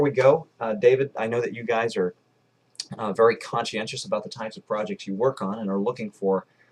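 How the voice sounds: At a fairly quick pace, a man with a medium pitch talks with fairly even intonation.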